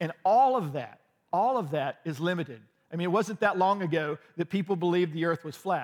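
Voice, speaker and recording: A man talks loudly at a fairly quick pace in a high voice, his tone animated and his pitch rising and falling by ordinary amounts. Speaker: pastor. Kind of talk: sermon. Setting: church.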